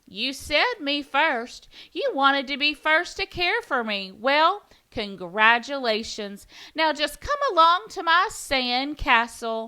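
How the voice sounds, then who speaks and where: A woman cackles in a put-on character voice with a high pitch. Her pace is fairly slow. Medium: read story. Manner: bossy, gleeful.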